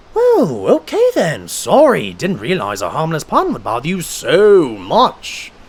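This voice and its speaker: In a put-on character voice, a man talks at a fairly slow pace with hardly any pauses. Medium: audio drama. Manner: self-satisfied.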